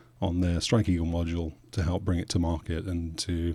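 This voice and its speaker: In a British accent, a man speaks at a moderate pace with a very deep, low pitch. His somewhat breathy voice is dark and mellow, in a very clean recording with a silent background. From England, Suffolk. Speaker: aviation journalist and podcaster. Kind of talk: podcast interview. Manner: halting, with frequent repeats.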